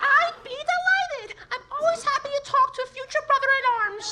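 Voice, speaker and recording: A woman uses a put-on character voice, squeaky and extremely high in pitch. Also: moderate pace, lively intonation. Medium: audio drama. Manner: sweet, eager, earnest.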